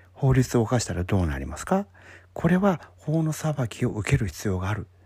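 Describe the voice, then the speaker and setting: This man's dark, mellow voice sits at a medium pitch, somewhat breathy, with very wide pitch swings. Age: 50s. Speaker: podcast host giving career advice. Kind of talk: solo talk monologue.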